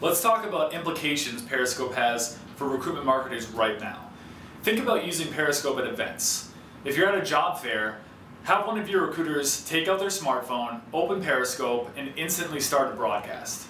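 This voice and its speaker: A man talks at a moderate speed, with audible room echo and light background noise around him. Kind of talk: scripted explainer to camera. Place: studio.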